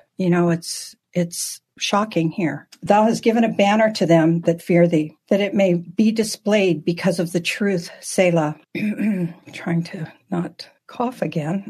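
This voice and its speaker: A somewhat breathy, fairly low-pitched woman's voice at a very slow pace. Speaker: Bible teacher. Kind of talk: Bible study teaching. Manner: halting.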